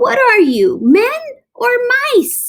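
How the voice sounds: In a put-on character voice, a woman speaks slowly at an extremely high pitch, with big pitch swings and vocal fry.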